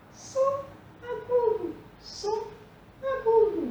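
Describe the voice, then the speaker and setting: A squeaky, put-on character voice at an extremely high pitch, very slow, with audible echo. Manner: demonstrating a high pitch.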